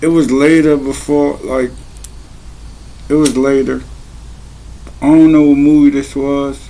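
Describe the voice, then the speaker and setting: Noticeable background noise sits behind a quiet man's voice. He speaks at a fairly slow pace with a fairly high pitch. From Maryland, US. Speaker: vlogger. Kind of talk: casual monologue.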